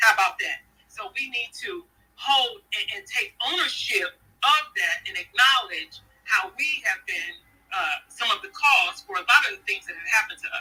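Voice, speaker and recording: A woman's raised, projected voice moves through big swings in loudness and very wide pitch swings. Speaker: author. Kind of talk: interview. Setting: online audio room. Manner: animated.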